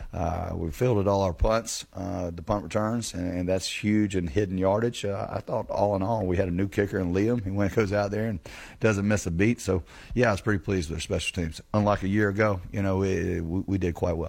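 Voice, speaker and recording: A normal speaking voice with fairly even intonation moves at a fairly quick pace on a very clean recording with a silent background. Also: man, fairly low pitch for a man. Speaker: college football head coach. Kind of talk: pregame radio interview.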